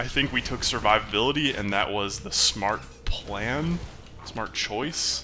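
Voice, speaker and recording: Noticeable background noise sits behind a man who speaks at a fairly slow pace, his medium pitch carrying lively intonation. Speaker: gaming YouTuber. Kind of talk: live gameplay commentary. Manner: mumbles to himself at times; casual, conversational.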